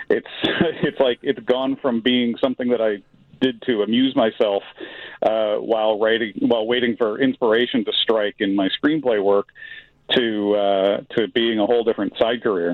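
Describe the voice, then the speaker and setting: A man with an American accent and an unremarkable speaking voice, medium pitch, a moderate pace, and very even loudness. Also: fairly even intonation. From Chicago. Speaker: artist and screenwriter. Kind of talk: radio phone interview. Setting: phone call.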